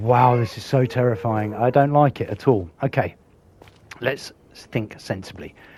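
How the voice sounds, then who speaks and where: A man talks fairly slowly at a medium pitch. His voice is somewhat breathy, with ordinary pitch variation. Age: old. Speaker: gaming YouTuber. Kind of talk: gameplay commentary.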